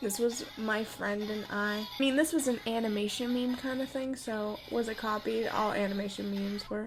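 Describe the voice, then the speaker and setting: Music plays behind a woman with a fairly high voice. She keeps a moderate pace with hardly any pauses and fairly even intonation. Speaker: artist. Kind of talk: casual talk to camera.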